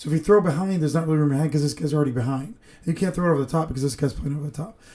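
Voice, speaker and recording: Very fast and somewhat breathy, a man's voice rushes along. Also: ordinary pitch variation. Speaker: football film analyst. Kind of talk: casual football breakdown talk.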